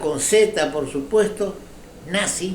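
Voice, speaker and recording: Audible room echo surrounds a man who speaks very slowly in a high voice. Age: 80s+. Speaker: political commentator. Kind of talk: opinion commentary monologue. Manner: halting.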